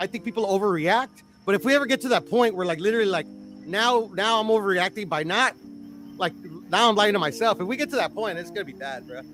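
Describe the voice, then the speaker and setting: The speech runs at a very fast pace, with ordinary pitch variation and big swings in loudness. Music plays in the background. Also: man, high pitch for a man. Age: 40s. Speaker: boxing stream co-host. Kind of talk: casual chat. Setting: live stream. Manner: halting, many fillers and restarts.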